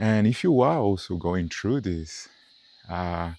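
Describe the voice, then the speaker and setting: On a very clean recording with a silent background, a man with a non-native accent speaks with lively intonation. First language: not English. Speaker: meditation content creator. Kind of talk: walking meditation talk. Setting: outdoors on a nature walk. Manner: halting.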